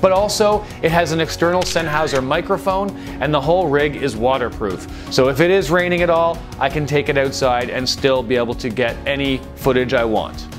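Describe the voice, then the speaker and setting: Clear music sounds in the background. Over it, a man talks fairly quickly. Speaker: travel vlogger. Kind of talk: casual vlog chat. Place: home room. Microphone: lapel.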